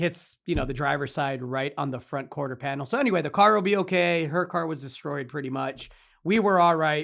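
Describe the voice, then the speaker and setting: Lively intonation runs through a man's fairly high-pitched voice as he speaks at a fairly quick pace. The recording is very clean, with a silent background. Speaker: podcast host. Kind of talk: casual chat. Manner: loud.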